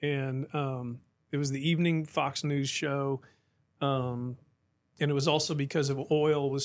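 A man with an American accent and monotone, flat intonation on a very clean recording with a silent background. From Oklahoma, Tulsa area. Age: 50s. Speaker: former mayor and pastor. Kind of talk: casual interview. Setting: studio.

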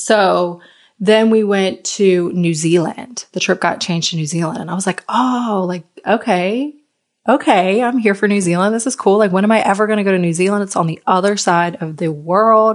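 With a slight Southern US accent, a woman speaks at a medium pitch and moderate pace in an animated, enthusiastic tone with ordinary pitch variation. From Virginia, US. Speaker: intuitive life coach and podcast host. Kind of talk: solo podcast monologue, personal storytelling. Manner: animated, enthusiastic, chatty.

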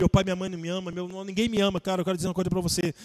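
Dry, close sound with no echo on a man's high voice. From southern Brazil (Rio Grande do Sul). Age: 40s. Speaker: pastor. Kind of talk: casual interview. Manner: animated.

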